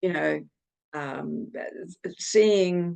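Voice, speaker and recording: Speaking very slowly, a woman talks with a New Zealand accent. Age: 70s. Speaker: book co-author. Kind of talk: personal testimony in interview. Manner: halting.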